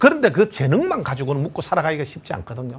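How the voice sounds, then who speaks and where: This man talks at a very fast pace in a fairly high voice, somewhat breathy, with lively intonation. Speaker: lecturer. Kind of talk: lecture. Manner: confident.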